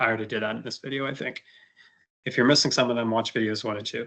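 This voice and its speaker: A man's voice has a bright, sharp tone against a quiet background. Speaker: medical educator. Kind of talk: lecture. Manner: fast.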